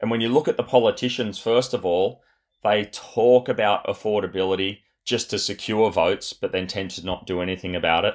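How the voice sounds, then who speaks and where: Speaking with an Australian accent, a man talks at a fairly quick pace in a fairly low pitch with fairly even intonation. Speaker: property developer, former Olympic athlete. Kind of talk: interview conversation. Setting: remote call.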